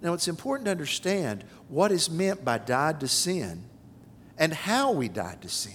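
Vocal fry at a moderate pace, with very wide pitch swings. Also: man, fairly high pitch for a man. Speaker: pastor. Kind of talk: sermon. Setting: church.

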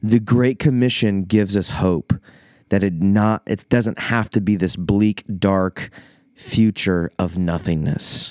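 In a US Midwestern accent, a man speaks very slowly at a fairly low pitch. His pitch variation is ordinary, and the sound is dry and close with no echo. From Iowa, US Midwest. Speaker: pastor. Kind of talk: podcast monologue reflecting on a sermon. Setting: church office. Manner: casual, conversational.

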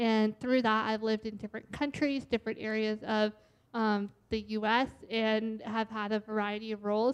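In an American accent, a woman with a fairly high voice speaks at a moderate pace in a flat monotone. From US Northeast, Boston area. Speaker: church staff administrator. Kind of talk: personal testimony. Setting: church service with congregation.

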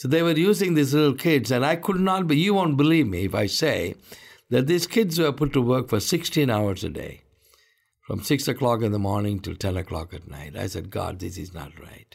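This man talks at a moderate pace in a medium pitch, with vocal fry, very wide pitch swings and big swings in loudness. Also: very clean recording, silent background. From India. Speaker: pastor and ministry founder. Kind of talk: interview testimony.

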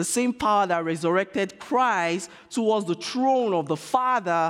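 A man talks at a fairly slow pace with a Nigerian accent. His intonation is lively and his tone animated. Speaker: preacher. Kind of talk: sermon ending in a fervent, pleading prayer, spoken to God. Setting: church. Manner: earnest, impassioned, pleading; animated, rhetorical, audience-engaging.

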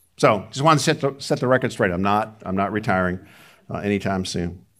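A man with an unremarkable speaking voice, fairly low pitch, moderate pace and lively intonation, on a very clean recording with a silent background. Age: 60s. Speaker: pastor. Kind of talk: sermon. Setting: church.

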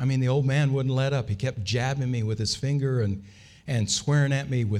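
What you hear is plain reading aloud.

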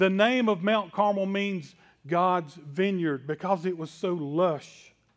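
Speaking very slowly in a Southern US accent, a man uses a high pitch. His pitch varies in an ordinary way. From US South. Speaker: pastor. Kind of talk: sermon.

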